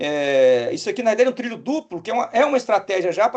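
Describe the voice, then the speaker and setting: This man talks at a very fast pace. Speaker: engineering professor. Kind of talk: technical webinar lecture.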